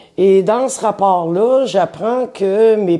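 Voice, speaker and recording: Dark and mellow in tone, a woman with a Quebec accent speaks with lively intonation. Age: 60s. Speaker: interviewee telling life story. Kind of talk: personal testimony. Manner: hesitant, with fillers.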